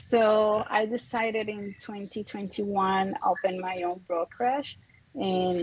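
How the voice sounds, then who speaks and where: Her voice is somewhat breathy and sits at medium pitch. The woman speaks with a Puerto Rican accent. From Puerto Rico. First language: Spanish. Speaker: real estate broker. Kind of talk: self-introduction in a group call.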